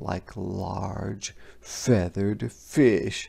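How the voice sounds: The voice has vocal fry and a slightly mellow tone. Its intonation stays fairly even at a very slow pace.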